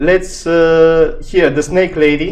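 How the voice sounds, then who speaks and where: A man with a non-native accent speaks at a very slow pace, his pitch fairly high. Audible room echo surrounds his voice. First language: not English. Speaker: gaming youtuber. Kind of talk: tutorial. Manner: halting.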